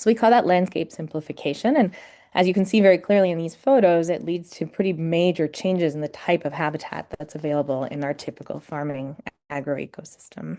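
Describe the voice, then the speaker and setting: With an American accent, a woman talks at a fairly quick pace in a dark, mellow tone over a quiet background. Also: fairly low pitch for a woman, ordinary pitch variation. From US, New York City. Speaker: academic researcher, farm bird ecologist. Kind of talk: webinar lecture. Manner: hesitant with frequent ums.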